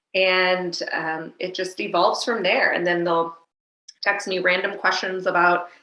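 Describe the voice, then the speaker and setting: A woman speaks in a normal speaking voice at a moderate pace and medium pitch. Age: 40s. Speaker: fitness trainer and life coach. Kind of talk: interview.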